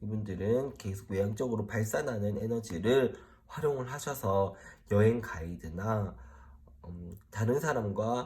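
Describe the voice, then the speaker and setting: Speaking at a fairly slow pace, a man uses a somewhat breathy, dark, mellow voice of fairly low pitch with ordinary pitch variation. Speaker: tarot reader. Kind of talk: tarot reading explainer to camera. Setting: solo recording in front of camera. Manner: speeds up when focused.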